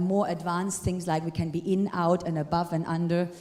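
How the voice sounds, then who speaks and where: There is noticeable background noise and audible room echo. Through it a woman speaks with ordinary pitch variation. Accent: non-native. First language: not English. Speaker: retired ballroom dancer and dance teacher. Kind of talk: lecture.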